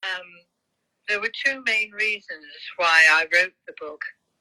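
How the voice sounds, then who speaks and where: A woman talks fairly slowly in a British accent with a bright, sharp tone. The sound is dry and close with no echo. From UK. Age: 70s. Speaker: author, teacher, Parkinson patient. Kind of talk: interview.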